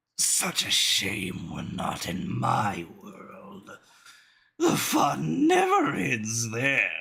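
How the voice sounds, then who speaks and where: A raspy, put-on character voice at a very slow pace. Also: man. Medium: virtual streamer. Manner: speaks through gritted teeth.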